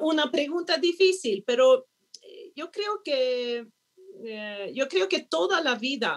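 A woman with a Swedish accent speaks very slowly with lively intonation. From Sweden. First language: Swedish (speaking Spanish). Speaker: diplomat. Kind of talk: panel conversation.

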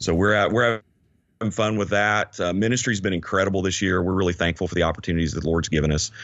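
A man with a Southern US accent talks at a very fast pace. His pitch is very deep and low. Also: fairly even intonation. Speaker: podcast co-host, ministry leader. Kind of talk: casual chat.

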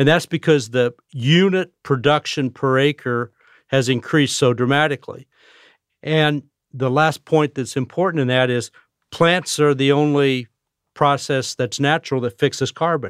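A man with an American accent, fairly high in pitch, at a moderate pace with fairly even intonation, in a very clean recording with a silent background and a dry, close sound with no echo. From US Midwest, Illinois. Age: 60s. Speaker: retired agricultural biotech executive and scientist. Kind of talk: interview. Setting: studio.

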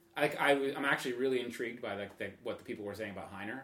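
Very fast delivery with ordinary pitch variation amid noticeable background noise. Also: man. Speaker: trail runner and photographer. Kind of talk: casual chat.

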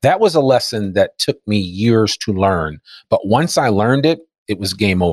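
An American man speaks at a moderate pace with lively intonation, in a plain, everyday voice. His pitch is fairly low, and the sound is dry and close with no echo. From New Jersey (Teaneck). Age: 50s. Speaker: entrepreneur and podcaster. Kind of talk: interview conversation. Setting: remote recording.

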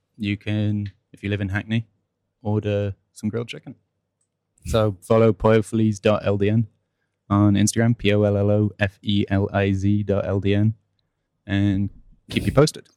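Monotone, flat intonation in an American accent, at a moderate pace with long, frequent pauses. The sound is dry and close, with no echo. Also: man. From US and England. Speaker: cinema front of house worker. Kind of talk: casual chat. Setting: cinema office.

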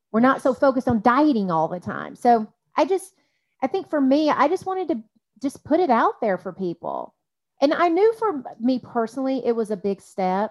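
The voice makes very wide pitch swings at a moderate pace. The sound is dry and close, with no echo. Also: woman, high pitch for a woman. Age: 40s. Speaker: life coach. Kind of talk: casual chat.

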